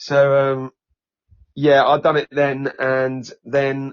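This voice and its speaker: A man with a Norfolk accent. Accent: East Norfolk. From Norfolk, England (Norwich). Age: 30s. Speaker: singer and comedy performer. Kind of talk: podcast interview.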